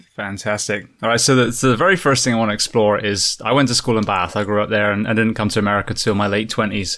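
Speaking very fast with hardly any pauses, a man with an English accent keeps his fairly low voice at a fairly even intonation. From England. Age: 40s. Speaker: podcast host and firefighter. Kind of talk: casual interview.

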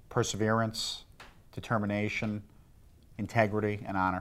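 Fairly slow delivery in a flat, monotone intonation. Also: man. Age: 20s. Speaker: business owner. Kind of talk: interview.

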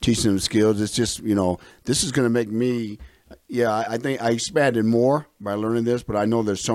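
A plain, everyday voice moves along at a moderate pace. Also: man. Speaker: environmental health and safety coordinator. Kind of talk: casual panel discussion.

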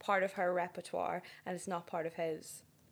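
A woman with a Northern Irish accent, medium in pitch. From Northern Ireland. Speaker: podcast guest. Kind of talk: casual chat.

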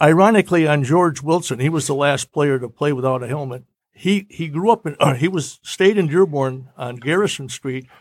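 A plain, everyday voice from a man with an American accent, fairly high pitch, ordinary pitch variation, moderate pace and hardly any pauses, on a very clean recording with a silent background. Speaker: radio man. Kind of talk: casual chat.

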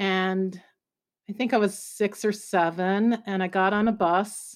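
An ordinary speaking voice from a woman, medium in pitch with an American accent and fairly even intonation, in a very clean recording with a silent background. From US Midwest (Oklahoma and Kansas). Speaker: journalist and journalism professor. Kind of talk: interview.

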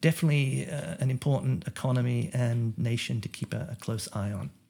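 Somewhat breathy and dark, with a mellow tone, a man speaks at a moderate pace. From Australia. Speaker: economist. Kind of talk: interview. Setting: remote call.

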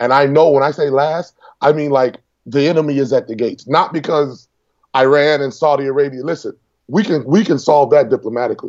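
A man's ordinary speaking voice, fairly high in pitch, with an American accent, fairly even intonation and a fairly quick pace. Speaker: congressional candidate and military veteran. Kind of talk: interview.

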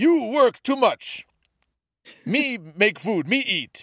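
The recording is very clean, with a silent background. A put-on character voice at a fairly high pitch moves at a very slow pace. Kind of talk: broken, childlike grammar. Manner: simple, halting.

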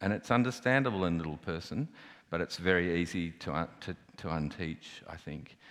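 In an Australian accent, a man speaks with a very deep, low pitch and ordinary pitch variation. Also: fairly quick pace. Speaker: artist. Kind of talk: panel discussion on stage. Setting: stage with audience.

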